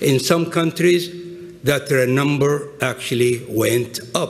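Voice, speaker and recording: With an Arabic accent, a man speaks at a fairly high pitch and a fairly slow pace, with audible room echo and noticeable background noise. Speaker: business executive and adjunct professor. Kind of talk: conference talk. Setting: stage with audience.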